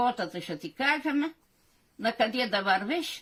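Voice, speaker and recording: A woman's bright, sharp tone at fairly high pitch, delivered at a very slow pace. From Drama region, Greek Macedonia, resettled in Turkish Thrace. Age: old. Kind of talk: folk tale telling.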